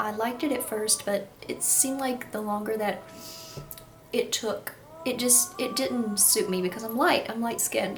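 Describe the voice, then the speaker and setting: A woman's fairly high voice with a Kentucky accent, plus audible room echo and noticeable background noise. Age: 20s. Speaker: YouTuber. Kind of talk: casual vlog talk to camera. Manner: animated.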